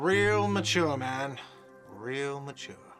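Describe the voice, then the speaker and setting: Over clear music in the background, a man puts on a whiny character voice at a medium pitch with ordinary pitch variation. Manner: sarcastic, complaining.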